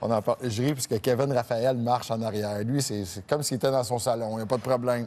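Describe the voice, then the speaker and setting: An animated tone in a Quebec accent. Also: man. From Quebec, Baie-Comeau. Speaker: sports TV host. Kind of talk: casual chat.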